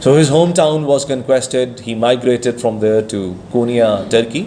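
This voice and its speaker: Noticeable background noise and audible room echo surround the voice. A man speaks with ordinary pitch variation. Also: medium pitch for a man, moderate pace. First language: Persian. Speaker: speaker at a Sufi conference. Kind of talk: conference talk.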